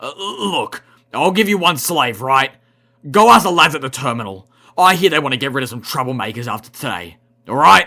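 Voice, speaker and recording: A man speaks at a fairly quick pace in a put-on character voice, his pitch fairly high. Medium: read story. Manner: hesitant, jittery.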